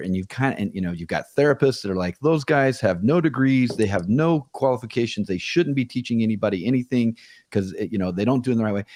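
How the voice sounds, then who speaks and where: A man talks at a very fast pace with hardly any pauses and lively intonation. His pitch is medium and the background quiet. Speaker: business owner. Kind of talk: interview answer.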